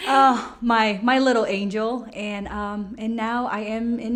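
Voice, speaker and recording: A woman speaks in a Burmese accent at a fairly high pitch with fairly even intonation. Room echo can be heard. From Myanmar. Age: young. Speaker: small business owner. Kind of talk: interview. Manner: halting.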